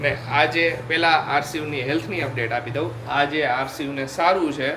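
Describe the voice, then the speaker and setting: Through audible room echo and noticeable background noise, a man speaks with a fairly high pitch. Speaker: family vlogger. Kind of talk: casual family vlog.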